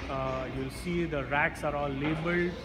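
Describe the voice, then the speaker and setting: A man talks at a moderate pace while music plays in the background. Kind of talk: interview answer. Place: hall.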